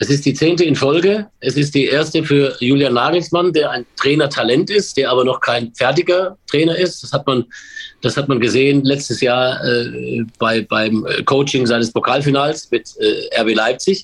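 Fairly high-pitched male voice with ordinary pitch variation over noticeable background noise. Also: moderate pace. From Baden-Württemberg (Pforzheim), Germany. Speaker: sports commentator and stadium announcer. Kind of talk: casual chat. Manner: halting.

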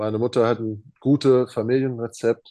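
In an English accent, a man talks at a fairly slow pace with a medium pitch and a dark, mellow tone. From Arizona, USA. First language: English (speaking German). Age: 30s. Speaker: professional basketball player. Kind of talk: interview. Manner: halting, many fillers.

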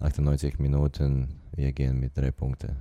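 With a very deep, low pitch, a man speaks in a monotone, flat intonation. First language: not German (speaking German). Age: 20s. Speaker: professional football player. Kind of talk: interview. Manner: halting non-native German.

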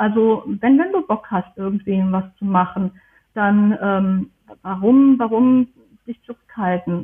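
A woman talks at a fairly slow pace. Her pitch is fairly high, with ordinary pitch variation. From Germany. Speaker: historian and archivist. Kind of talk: interview. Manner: halting, many fillers.

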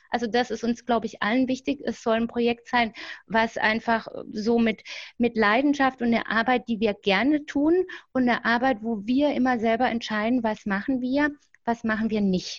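This woman has a normal speaking voice, talking at a moderate pace with a fairly high pitch and fairly even intonation against a quiet background. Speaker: grief counselor and fanzine editor. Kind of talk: interview.

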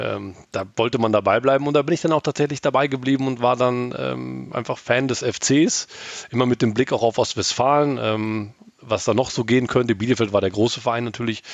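In a plain, everyday voice, a man at medium pitch talks at a fairly quick pace. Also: fairly even intonation. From Germany, East Westphalia (Gütersloh). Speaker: football fan, media worker. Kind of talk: casual podcast interview.

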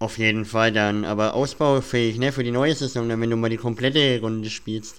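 In a normal speaking voice, a man at medium pitch talks at a moderate pace with fairly even intonation and hardly any pauses. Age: 20s. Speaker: podcast host. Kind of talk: casual interview.

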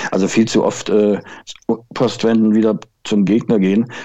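The tone is dark and mellow. The intonation stays flat and monotone. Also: man. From Thuringia, Altenburg. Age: 50s. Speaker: football blogger and fan. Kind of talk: casual chat.

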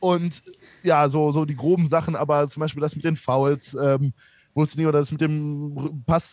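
This man's voice sits fairly high and his intonation is monotone and flat. He speaks at a fairly slow pace. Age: 20s. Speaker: sports commentator. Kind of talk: casual interview.

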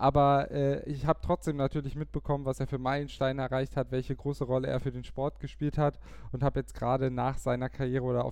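In a medium pitch, a man talks with monotone, flat intonation and a dark, mellow tone. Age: 20s. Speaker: podcast host, cycling team press officer. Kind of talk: casual podcast chat.

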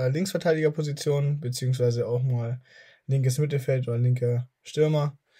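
Fairly high in pitch and somewhat breathy, a man's voice has a dark, mellow tone and fairly even intonation at a moderate pace, in a very clean recording with a silent background. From Germany. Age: 20s. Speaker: podcast host. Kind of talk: casual chat.

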